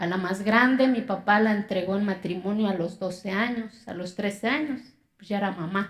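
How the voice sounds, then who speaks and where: A woman speaks with an Oaxacan accent. Her pace is moderate and her intonation fairly even. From Mexico, Oaxaca (Zapotec community). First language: Zapotec (speaking Spanish). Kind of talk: inspirational talk.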